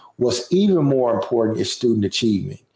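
A man speaks in a dark, mellow tone. His pitch varies an ordinary amount. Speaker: school principal and podcaster. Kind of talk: casual interview.

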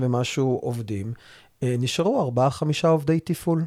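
Here is a man with a plain, everyday voice at a medium pitch and ordinary pitch variation. The recording is very clean, with a silent background. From Israel, Rehovot. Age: 40s. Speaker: mortgage advisors' association chairman. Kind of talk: interview.

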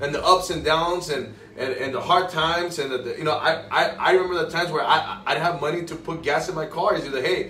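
Noticeable background noise sits under a man's high-pitched voice. He talks at a very fast pace with ordinary pitch variation. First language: Spanish. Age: 20s. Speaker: guest, financial advisor. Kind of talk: casual interview chat. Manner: casual, repeats words, stutters.

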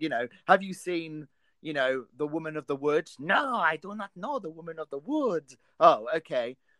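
A man with a southern English accent speaks in a fairly high, bright, sharp voice. His loudness swings widely, and the sound is dry and close with no echo. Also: lively intonation, moderate pace. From England. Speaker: film podcast host. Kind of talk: casual chat.

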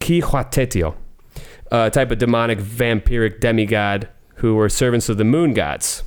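This man has an ordinary speaking voice at a medium pitch, with ordinary pitch variation, very even loudness and a moderate pace, recorded very cleanly against a silent background. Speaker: returning guest. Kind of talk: casual chat.

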